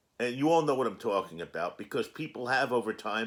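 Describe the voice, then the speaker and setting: This man's voice has vocal fry and lively intonation, captured in a very clean recording with a silent background. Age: 60s. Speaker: cannabis vlogger. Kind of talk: casual vlog monologue.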